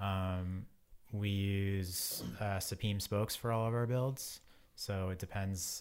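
A man's fairly low voice in an American accent, very slow and monotone with flat intonation. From Boston area, Massachusetts. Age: 40s. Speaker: cycling wheel company partner. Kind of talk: casual interview.

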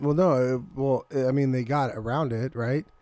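A man with medium pitch and fairly even intonation talks at a moderate pace in a normal speaking voice. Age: 30s. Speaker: podcast co-host. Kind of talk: casual comedic banter. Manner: playful, laughs often.

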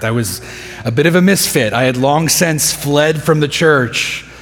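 With an American accent, a man speaks at a moderate pace and a fairly high pitch, with audible room echo and noticeable background noise. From Texas (Midland, West Texas). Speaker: pastor. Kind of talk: sermon.

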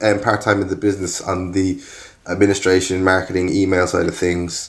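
Man speaking at a moderate pace with an Irish accent. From Ireland. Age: 40s. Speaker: furniture designer and maker. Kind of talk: casual interview chat.

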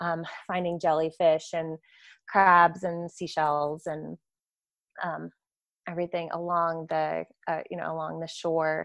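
With an American accent, a woman with a fairly low pitch speaks at a fairly slow pace in a dry, close sound with no echo and a quiet background. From Florida, Tampa area. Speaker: sustainability educator, university program director. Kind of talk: interview conversation. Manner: hesitant with fillers.

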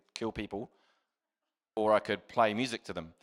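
Speaking at a very fast pace with a New Zealand accent, a man with a fairly low pitch comes through on a very clean recording with a silent background. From New Zealand, Christchurch. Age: 40s. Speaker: guest preacher, former army musician. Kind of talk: sermon. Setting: stage with audience.

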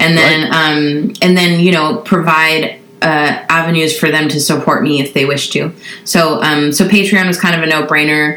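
Her very deep, low voice holds a fairly even intonation, with noticeable background noise and audible room echo. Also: moderate pace. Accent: American. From Southern California. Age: 30s. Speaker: singer-songwriter. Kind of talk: casual chat.

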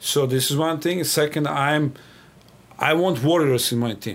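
A man speaks with a Serbian accent at a moderate pace. His pitch varies in an ordinary way. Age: 40s. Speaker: national team water polo coach. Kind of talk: interview. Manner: direct.

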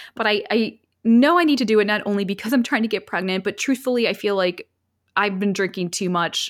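In a very clean recording with a silent background, a woman with a plain, everyday voice speaks at a fairly quick pace and medium pitch, with ordinary pitch variation. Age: 40s. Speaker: podcast host and former reality TV contestant. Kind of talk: casual interview chat.

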